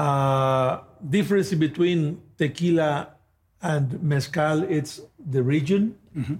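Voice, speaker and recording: The speaker talks at a very slow pace with a Spanish accent and ordinary pitch variation. The voice is somewhat breathy. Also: man, fairly high pitch for a man. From Mexico, Guadalajara. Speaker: tequila brand ambassador. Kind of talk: interview. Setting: at a distillery.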